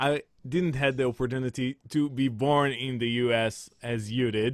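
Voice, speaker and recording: Here a man speaks with an Israeli accent at a moderate pace. His pitch is medium and his intonation fairly even. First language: Hebrew. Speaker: composer and musical director. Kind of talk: webinar conversation. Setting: video call. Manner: halting.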